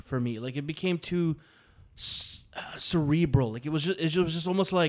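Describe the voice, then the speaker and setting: At a fairly quick pace, an unremarkable speaking voice moves through ordinary pitch variation on a very clean recording with a silent background. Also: man. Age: 30s. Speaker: podcast host. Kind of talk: casual banter. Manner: joking, profane.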